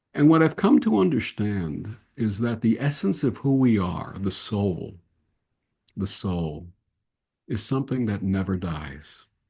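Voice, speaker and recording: A man's dark, mellow, somewhat breathy voice at fairly low pitch, with lively intonation, long, frequent pauses and a quiet background. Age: 70s. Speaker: interfaith minister and podcast host. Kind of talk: interview conversation.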